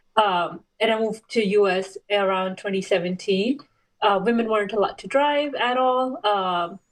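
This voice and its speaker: A woman's medium-pitched voice with a non-native accent, ordinary pitch variation and a moderate pace. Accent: foreign. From Saudi Arabia, Pakistani family. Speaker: race car driver and clinical researcher. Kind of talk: interview.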